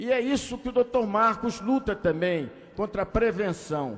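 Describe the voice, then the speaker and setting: The man's speech moves fairly slowly, and his pitch varies in an ordinary way. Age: 60s. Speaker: politician. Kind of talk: ceremonial speech. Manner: halting.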